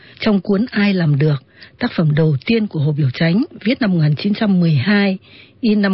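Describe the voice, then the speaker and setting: Her voice is somewhat breathy and fairly low as this woman speaks very slowly with lively intonation. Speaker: radio presenter and literary narrator. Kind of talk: radio literary talk with read-aloud excerpts of novels. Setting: radio broadcast.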